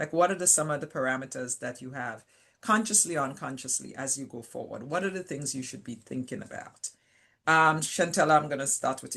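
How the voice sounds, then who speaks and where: In a Caribbean accent, a woman talks at a fairly quick pace with a very deep, low pitch. Her tone is bright and sharp, with ordinary pitch variation. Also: big swings in loudness. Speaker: panel moderator, scientist. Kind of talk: webinar panel discussion.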